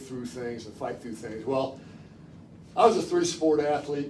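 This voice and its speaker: Room echo clearly audible around a man talking, plus noticeable noise behind him. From Chicago suburbs, Illinois. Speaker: former college football quarterback, guest speaker. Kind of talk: public talk. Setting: library talk with live audience. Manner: conversational, storytelling.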